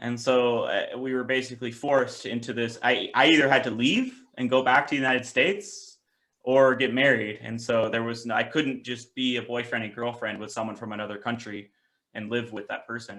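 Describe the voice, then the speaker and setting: With a Pacific Northwest accent, a man speaks at a fairly quick pace and medium pitch, his tone bright and sharp, his intonation fairly even and his loudness swinging widely. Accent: American, Pacific Northwest. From US, Seattle. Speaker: president of a youth political organization. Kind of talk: interview. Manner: hesitant, many fillers and restarts.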